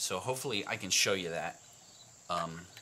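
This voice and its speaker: A man with an unremarkable speaking voice talks at a moderate pace over light background noise. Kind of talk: tutorial. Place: workshop.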